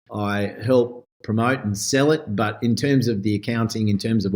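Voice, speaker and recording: Fairly even intonation and a moderate pace mark this speech in an Australian accent. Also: man. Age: 60s. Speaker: winemaker. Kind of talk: podcast interview. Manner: casual.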